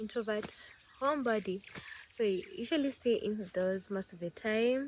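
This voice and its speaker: A woman with a Kenyan accent speaks at a fairly slow pace and a fairly high pitch. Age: 20s. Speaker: vlogger. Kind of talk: casual vlog talk. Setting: at home.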